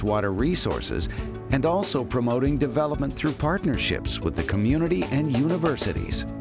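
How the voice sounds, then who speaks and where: With music in the background, a man talks at a moderate pace through very wide pitch swings. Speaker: voice actor. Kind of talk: corporate narration.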